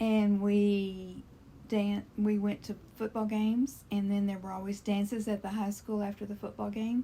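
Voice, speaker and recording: Speaking fairly slowly with a Texan accent, a woman uses a somewhat breathy, dark, mellow, medium-pitched voice with monotone, flat intonation. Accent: Texan Southern US. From Texas, Dallas-Fort Worth area. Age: 70s. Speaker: interviewee grandmother. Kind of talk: interview reminiscence. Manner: casual, conversational.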